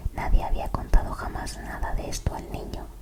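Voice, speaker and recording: Noticeable background noise is audible. Over it, someone is whispering. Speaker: ASMR creator. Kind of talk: whispered story reading. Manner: whispered.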